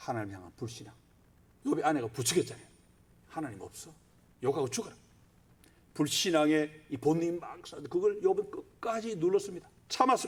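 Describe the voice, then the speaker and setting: Pitched high, a man talks at a moderate pace with very wide pitch swings. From Gyeongsang, South Korea. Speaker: pastor. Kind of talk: sermon.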